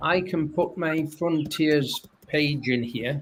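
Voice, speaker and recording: A man with a northern English accent talks at a fairly high pitch over noticeable background noise. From northern England. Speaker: academic researcher. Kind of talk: panel discussion. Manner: halting.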